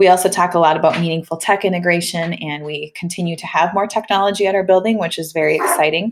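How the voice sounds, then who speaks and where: With a Minnesotan accent, a woman talks at a fairly quick pace in a fairly low pitch. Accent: Minnesota. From US Midwest, Minnesota. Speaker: school principal. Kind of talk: recorded presentation to parents. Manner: fast; animated.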